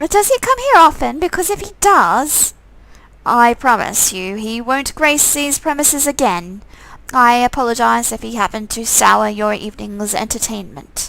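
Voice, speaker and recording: In a put-on character voice, a woman speaks at a high pitch with very wide pitch swings, big swings in loudness and a moderate pace. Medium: game stream. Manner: firm, commanding.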